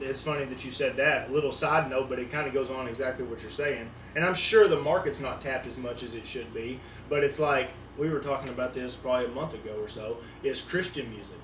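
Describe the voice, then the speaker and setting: Over noticeable background noise and audible room echo, a man at medium pitch talks at a very fast pace with ordinary pitch variation and big swings in loudness. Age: 20s. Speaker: podcast co-host. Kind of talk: casual chat.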